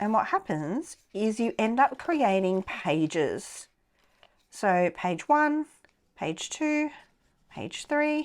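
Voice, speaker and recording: A woman speaks very slowly with long, frequent pauses. Her pitch is fairly high and swings very widely. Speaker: crafting YouTuber. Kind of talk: tutorial. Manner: casual.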